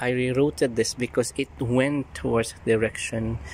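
A man at a moderate pace with fairly even intonation, dry and echo-free, over light background noise. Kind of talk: casual vlog chat. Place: garden. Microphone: phone near.

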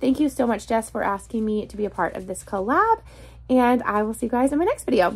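Ordinary pitch variation in a woman's speech. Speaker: book vlogger. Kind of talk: casual vlog chat. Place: home room. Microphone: phone near.

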